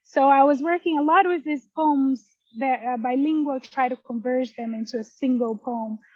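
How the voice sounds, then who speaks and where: A woman's high voice in a Portuguese accent, at a moderate pace with ordinary pitch variation. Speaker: poet. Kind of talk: interview. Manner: halting.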